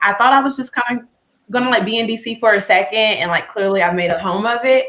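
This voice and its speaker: A woman with an American accent speaks very fast at a fairly high pitch, with ordinary pitch variation. Her tone is bright and sharp. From North Carolina. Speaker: nonprofit co-founder. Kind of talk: casual chat.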